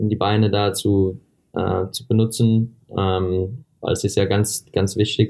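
Here a man talks at a very slow pace. His intonation is flat and monotone. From USA. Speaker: middle-distance runner. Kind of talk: interview. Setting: remote call from a hotel. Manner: halting.

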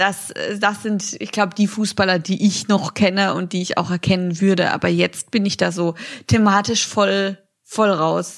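Over a very clean recording with a silent background, a woman with an ordinary speaking voice talks at a medium pitch and fairly slow pace with fairly even intonation. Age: 20s. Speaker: podcast co-host. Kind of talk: casual chat.

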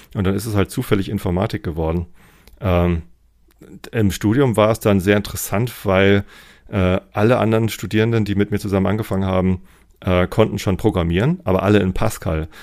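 Speaking at a fairly quick pace with fairly even intonation, the voice breaks into long, frequent pauses over a very clean recording with a silent background. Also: man, fairly low pitch for a man. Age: 40s. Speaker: engineering manager. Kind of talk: interview.

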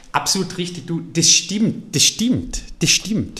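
A man's very slow speech with vocal fry and lively intonation. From Austria, Carinthia. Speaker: entrepreneur. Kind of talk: interview.

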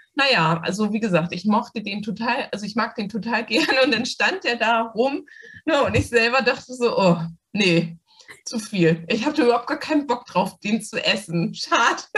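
An ordinary speaking voice from a woman, fairly high in pitch, with lively intonation and a moderate pace. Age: 50s. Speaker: doctor and coaching client. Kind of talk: interview testimony.

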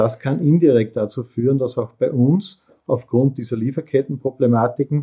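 At a moderate pace, a man with a medium pitch and fairly even intonation talks in an ordinary speaking voice. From Upper Austria. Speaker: industrial company CEO. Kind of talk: interview.

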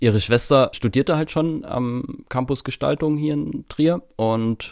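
With a slight Saxon accent, a man talks using lively intonation. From Saxony, eastern Germany. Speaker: media designer and event organizer. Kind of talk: casual interview.

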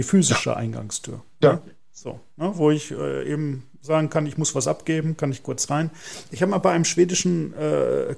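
A man talks in a normal speaking voice at a fairly high pitch. His intonation is lively and his pace moderate. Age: 40s. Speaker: podcast host, marketing manager. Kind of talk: podcast interview.

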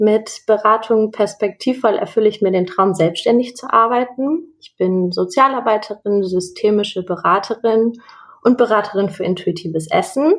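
A woman with an unremarkable speaking voice talks at a moderate pace, her pitch fairly high with ordinary variation. Her loudness swings widely. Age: 20s. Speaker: counselor. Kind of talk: interview.

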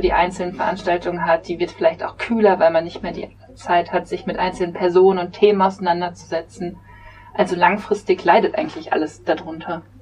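A fairly quick delivery against noticeable background noise. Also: woman. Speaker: podcast host and literary event organizer. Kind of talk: casual discussion. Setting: studio.

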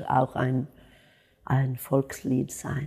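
A woman speaks at a very slow pace. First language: Swedish (speaking German). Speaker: jazz singer. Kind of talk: interview.

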